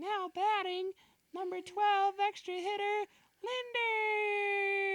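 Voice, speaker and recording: In a squeaky, put-on character voice with an extremely high pitch, the speaker talks at a very slow pace. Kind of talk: formal announcing lineups.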